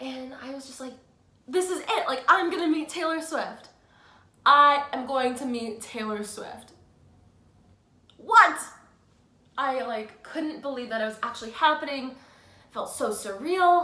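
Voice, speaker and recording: A woman's high, raised, projected voice with lively intonation, big swings in loudness, a fairly slow pace, long, frequent pauses, and audible room echo. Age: 20s. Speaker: fan vlogger. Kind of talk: casual vlog storytelling. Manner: animated.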